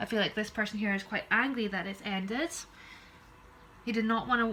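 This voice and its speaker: A woman speaks with a Scottish accent at a fairly high pitch, with ordinary pitch variation. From Scotland. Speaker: tarot reader. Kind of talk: tarot reading. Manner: fast.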